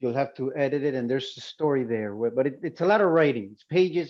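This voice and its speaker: A man with a Spanish accent speaks at a fairly high pitch with ordinary pitch variation. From Colombia. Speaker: visual artist. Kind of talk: panel talk. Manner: halting.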